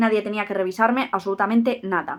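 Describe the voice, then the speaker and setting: A woman's animated tone at a fairly quick pace. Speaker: youtuber on giftedness. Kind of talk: personal vlog monologue. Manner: careful articulation.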